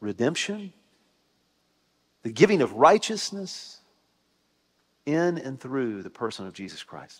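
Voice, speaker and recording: A man speaks at a fairly slow pace, with long, frequent pauses. His pitch swings very widely and his loudness rises and falls sharply. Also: quiet background. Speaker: Methodist pastor. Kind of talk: sermon. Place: church. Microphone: headset.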